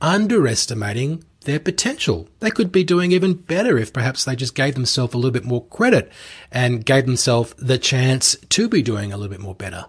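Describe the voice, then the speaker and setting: Speaking with an Australian accent, a man sounds somewhat breathy, with very wide pitch swings. He talks at a fairly quick pace, in a very clean recording over a silent background. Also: medium pitch for a man. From Australia (Melbourne). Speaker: podcast host and commercial real estate coach. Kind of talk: solo podcast monologue.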